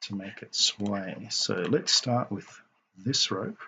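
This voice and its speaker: A man speaks at a very slow pace. He keeps a fairly even intonation. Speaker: game modder. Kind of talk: software tutorial narration. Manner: soporific, slow.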